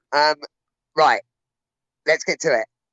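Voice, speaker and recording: A man with an English accent speaks at a fairly high pitch. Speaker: rugby podcast host. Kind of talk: casual chat.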